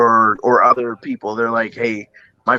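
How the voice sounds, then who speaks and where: With a Midwestern US accent, a man talks at a moderate pace and medium pitch, recorded dry and close with no echo. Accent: US Midwest. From Iowa, Quad Cities. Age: 30s. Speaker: singer. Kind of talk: casual interview.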